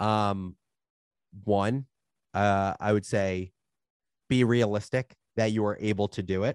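With an American accent, a man speaks fairly slowly in a fairly low, monotone, flat voice, leaving long, frequent pauses, and the sound is dry and close with no echo against a quiet background. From New Jersey. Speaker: media startup founder. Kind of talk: interview conversation.

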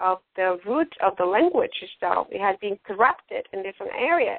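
A woman speaks with a Latin American accent at a moderate pace. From Ecuador. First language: Spanish. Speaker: radio host. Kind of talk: casual talk show hosting. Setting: online radio show.

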